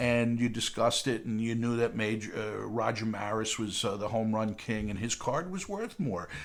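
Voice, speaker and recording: At a moderate pace with hardly any pauses, a man speaks in a plain, everyday voice at a medium pitch with fairly even intonation. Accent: American. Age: 60s. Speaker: crypto educator for seniors. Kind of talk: talking-head explainer video. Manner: casual, many filler words.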